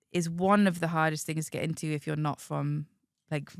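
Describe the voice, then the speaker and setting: In a Geordie accent, a woman talks at a fairly quick pace with a very deep, low pitch. Her intonation is flat and monotone, and the recording is very clean with a silent background. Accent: soft Geordie. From northern England, Whitley Bay near Newcastle. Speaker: film development executive. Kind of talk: casual chat.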